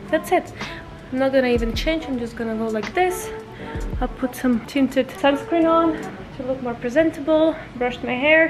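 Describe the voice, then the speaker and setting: A high-pitched woman's voice at a moderate pace, long, frequent pauses, and clear music in the background. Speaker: mom vlogger. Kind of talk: casual vlog chat. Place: home room. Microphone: phone near.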